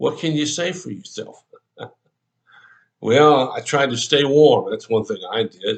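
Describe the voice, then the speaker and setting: With vocal fry and a fairly high pitch, a man speaks at a fairly slow pace while his pitch swings very widely. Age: 70s. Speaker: pastor. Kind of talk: devotional talk.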